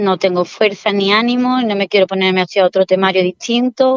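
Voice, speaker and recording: At a moderate pace, a plain, everyday voice with ordinary pitch variation comes through with a dry, close sound and no echo. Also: woman. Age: 40s. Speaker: civil servant, former exam candidate. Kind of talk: interview testimony.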